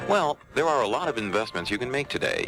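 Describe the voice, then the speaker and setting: A man speaks with very wide pitch swings while music plays in the background. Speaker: radio commercial announcer. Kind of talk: radio commercial read. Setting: AM radio broadcast off cassette.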